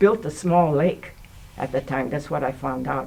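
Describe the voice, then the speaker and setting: The speaker talks with an American accent. The pace is moderate and the pitch variation ordinary. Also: woman. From United States. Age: 80s+. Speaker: playwright. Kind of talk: interview answer. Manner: hesitant, conversational.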